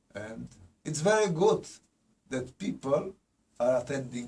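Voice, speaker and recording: At a fairly slow pace, the man talks in a somewhat breathy voice. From Poland. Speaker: spiritual teacher. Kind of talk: lecture. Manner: halting.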